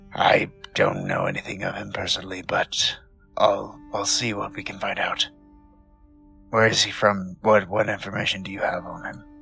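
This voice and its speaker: Faint music plays behind a man doing a put-on character voice, raspy and fairly low in pitch, at a moderate pace. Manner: calm, serious, cautious.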